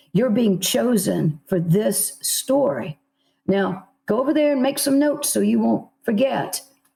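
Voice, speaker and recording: A woman speaks at a fairly slow pace with very wide pitch swings. Her voice has vocal fry and a dark, mellow tone. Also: medium pitch for a woman. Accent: American. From South Carolina, USA. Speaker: novelist. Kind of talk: interview answer.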